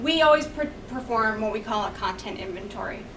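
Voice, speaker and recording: A woman speaks at a high pitch with very wide swings, with audible room echo and noticeable background noise. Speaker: graphic designer and conference speaker. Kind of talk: presentation talk. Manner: fast.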